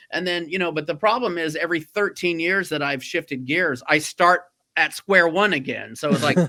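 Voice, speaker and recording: With ordinary pitch variation, this man's voice sits high in pitch. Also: moderate pace. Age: 50s. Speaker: writer, director and actor. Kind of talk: interview. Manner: animated.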